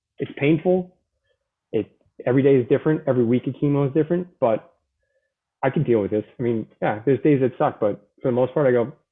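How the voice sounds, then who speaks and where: Long, frequent pauses break up speech delivered at a very fast pace. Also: man, medium pitch for a man, ordinary pitch variation. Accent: Boston. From Boston, US. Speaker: Marine veteran with cancer. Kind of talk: interview testimony. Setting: live online show.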